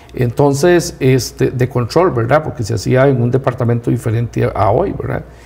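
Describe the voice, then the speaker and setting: Speaking at a moderate pace with hardly any pauses, a man holds a medium pitch and ordinary pitch variation over noticeable background noise. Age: 60s. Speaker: rural community leader. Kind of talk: TV interview.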